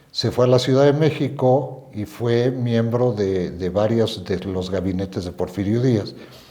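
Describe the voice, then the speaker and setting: Over noticeable background noise, a man speaks at a fairly slow pace with medium pitch and ordinary pitch variation. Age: 70s. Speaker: descendant of historical generals, storyteller. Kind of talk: interview, casual storytelling.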